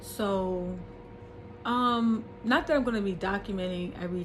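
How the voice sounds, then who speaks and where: A woman talks at a moderate pace with medium pitch and lively intonation. The room echo is audible, and background noise is noticeable. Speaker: vlogger. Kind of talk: personal vlog. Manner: halting.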